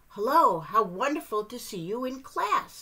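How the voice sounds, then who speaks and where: In a put-on character voice, a woman talks at a moderate pace with a high pitch. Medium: read story. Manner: chirpy, bubbly.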